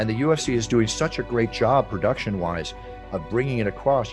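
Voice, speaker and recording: Music plays behind a man with an American accent who talks at a fairly quick pace. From United States. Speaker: ring announcer. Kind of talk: interview answer.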